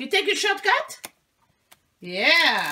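At a slow pace, a woman speaks with an extremely high pitch and a bright, sharp tone.

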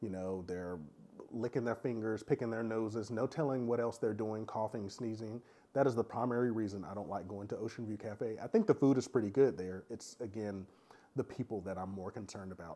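Fairly quick and fairly even in intonation, a man speaks in a dark, mellow tone at a fairly low pitch. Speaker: cruise vlogger. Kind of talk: casual review monologue.

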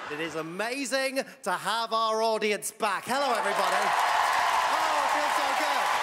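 A man at a moderate pace with ordinary pitch variation, crowd noise in the background. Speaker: TV show host. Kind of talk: show host patter to audience. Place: studio. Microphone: handheld.

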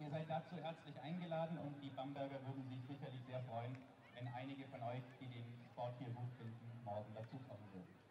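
Speaking very fast with fairly even intonation, a man with a medium pitch is heard over noticeable background noise and audible room echo. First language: German. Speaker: event announcer. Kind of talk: announcement.

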